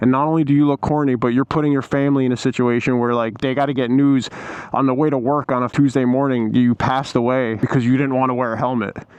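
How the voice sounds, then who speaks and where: Noticeable background noise sits behind the speaker. A man with a medium-pitched voice talks at a fairly quick pace. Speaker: motorcycle vlogger. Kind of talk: rant. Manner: animated; casual.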